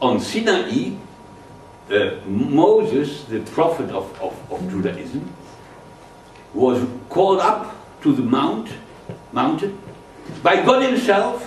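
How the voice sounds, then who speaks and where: Over noticeable background noise, a man with a German accent speaks very slowly in a high voice, with very wide pitch swings and long, frequent pauses. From Germany. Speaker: physicist and political activist. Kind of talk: public lecture.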